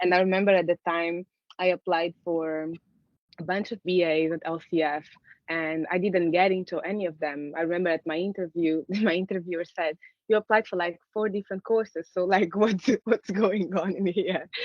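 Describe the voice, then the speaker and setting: This woman speaks with a Portuguese accent. Her pace is moderate. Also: fairly low pitch for a woman, fairly even intonation. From Angola. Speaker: artist. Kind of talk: conversational interview. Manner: hesitant, many fillers and restarts.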